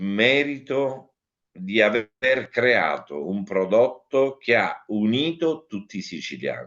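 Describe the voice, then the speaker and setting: Here a man talks at medium pitch. His voice has very wide pitch swings. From Ragusa, Sicily, Italy. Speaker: actor and cabaret comedian. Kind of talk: interview answer.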